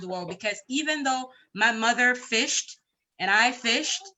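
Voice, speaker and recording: Lively intonation marks a woman's unremarkable speaking voice. She talks at a fairly slow pace. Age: young. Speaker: conference participant. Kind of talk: panel discussion.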